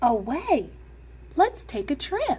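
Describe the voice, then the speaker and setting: A high-pitched, put-on character voice over clear background noise. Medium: read story. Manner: eager.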